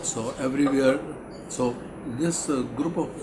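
A man speaking at a fairly slow pace with ordinary pitch variation, over loud background noise. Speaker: interviewee. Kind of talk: interview answer. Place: meeting room.

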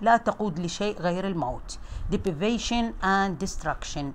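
A woman speaks in an Iraqi accent with lively intonation. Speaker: English teacher. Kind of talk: lecture.

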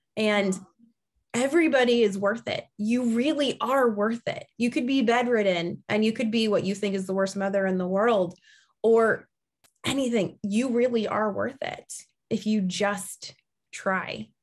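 The tone is animated, with ordinary pitch variation. A woman speaks at a fairly slow pace. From US Midwest. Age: 40s. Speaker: podcast host, keto coach. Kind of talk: casual chat. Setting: video call. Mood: earnest, heartfelt. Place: home room. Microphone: video call.

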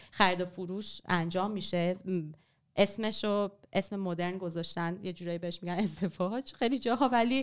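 A woman speaks at a fairly quick pace and medium pitch with ordinary pitch variation in an unremarkable speaking voice, over a quiet background. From Iran. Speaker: writer and former journalist; podcast guest. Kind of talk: history talk in casual podcast chat. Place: studio. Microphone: studio mic.

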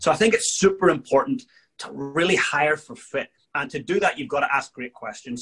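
A man's high-pitched voice with a Northern Irish accent, lively intonation and a fairly quick pace against a quiet background. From Northern Ireland. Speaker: leadership coach and world champion drummer; leadership coach. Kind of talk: interview. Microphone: video call.

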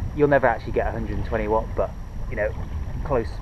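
Recorded with a dry sound with no echo, a man talks against noticeable background noise. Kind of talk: casual vlog tutorial. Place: boat.

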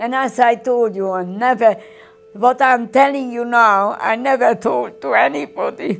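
Faint music plays in the background. A woman talks at a fairly slow pace with a fairly high pitch and ordinary pitch variation. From Hungary. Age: 80s+. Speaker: Holocaust survivor. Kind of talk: documentary interview answer. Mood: distressed, close to tears.

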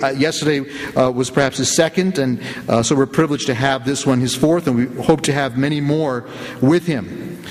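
A man talks at a moderate pace with an American accent. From US, the Bronx, New York; New York. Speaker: debate moderator. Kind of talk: formal introduction of a debate. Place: church. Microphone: podium.

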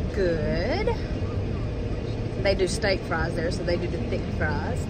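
Loud background noise surrounds speech delivered at a fairly slow pace. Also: woman. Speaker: family vlogger. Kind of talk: casual vlog chat. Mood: cheerful, relaxed. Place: car. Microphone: phone near.

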